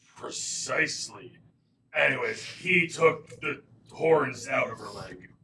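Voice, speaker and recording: A man puts on a raspy character voice, pitched fairly high for a man. He talks at a fairly slow pace, and his loudness swings widely. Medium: actual play. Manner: casual, chatty.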